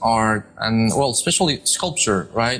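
Over music in the background, a man speaks with a Spanish accent. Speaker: architect and podcast host. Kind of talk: interview. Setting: live-streamed studio show. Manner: hesitant, many fillers.

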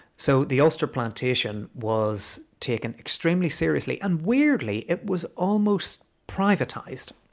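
A man with a Belfast accent, fairly high-pitched, with very wide pitch swings and hardly any pauses. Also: moderate pace, very clean recording, silent background. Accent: Belfast Northern Irish. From Northern Ireland, Belfast. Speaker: teacher. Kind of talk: casual history interview.

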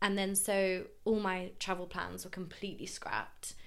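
At a fairly slow pace, a woman speaks in a medium pitch with monotone, flat intonation and audible room echo. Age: 20s. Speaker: journalism student and podcaster. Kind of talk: casual interview chat.

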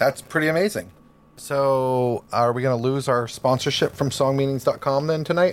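A man speaks in an ordinary speaking voice at a fairly high pitch with ordinary pitch variation. His pace is moderate and his loudness very even. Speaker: podcast co-host. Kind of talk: casual chat.

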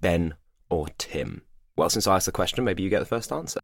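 A man's voice comes through a very clean recording with a silent background. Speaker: podcast co-host and voice actor. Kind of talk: casual chat.

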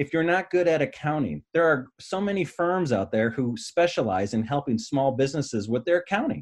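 A man's ordinary speaking voice at a fairly high pitch, fairly quick with lively intonation and hardly any pauses. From Michigan. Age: 40s. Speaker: business broker and coach. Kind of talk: interview conversation.

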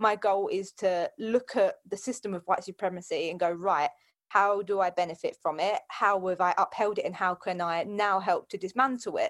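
Using a plain, everyday voice, a woman speaks at a moderate pace and medium pitch with ordinary pitch variation and hardly any pauses. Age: 20s. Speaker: fitness coach. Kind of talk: casual chat.

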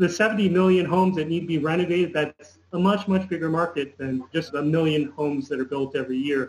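A man speaks fairly quickly with hardly any pauses, in a plain, everyday voice. His pitch is fairly high, with ordinary variation. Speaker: environmental activist and engineer. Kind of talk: interview.

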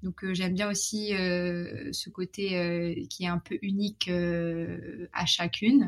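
A woman's fairly low voice at a very slow pace, fairly even in intonation, with hardly any pauses. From Morocco. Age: 20s. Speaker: sex education advocate and entrepreneur. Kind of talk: interview conversation. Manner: hesitant, many fillers.

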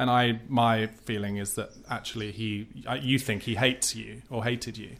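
An unremarkable speaking voice, a man at medium pitch, fairly even intonation and moderate pace, on a very clean recording with a silent background. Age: 40s. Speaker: podcast host. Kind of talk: interview. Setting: home conservatory.

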